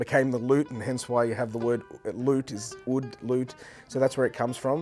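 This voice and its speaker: A man with an Australian accent at a very fast pace, in a monotone, flat intonation. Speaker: oud player and composer. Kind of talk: interview monologue. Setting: hot springs venue. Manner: hesitant, many fillers.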